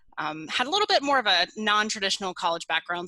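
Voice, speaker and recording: A woman speaks very fast with ordinary pitch variation. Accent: Southern US. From US South, coastal Georgia (Brunswick). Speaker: real estate investor. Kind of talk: interview answers.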